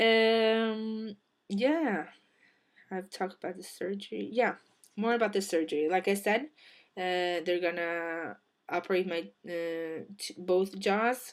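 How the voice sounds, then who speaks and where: A woman's medium-pitched voice with ordinary pitch variation, big swings in loudness and long, frequent pauses, in a very clean recording with a silent background. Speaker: vlogger. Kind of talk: personal vlog. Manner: halting, many fillers.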